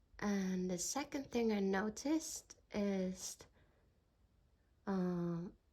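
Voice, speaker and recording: A woman at a very slow pace with long, frequent pauses, her tone dark and mellow and somewhat breathy. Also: medium pitch for a woman, lively intonation. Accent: Hong Kong. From Hong Kong. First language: Cantonese. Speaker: spiritual card reader vlogger. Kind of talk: casual vlog monologue. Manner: halting, searching for words.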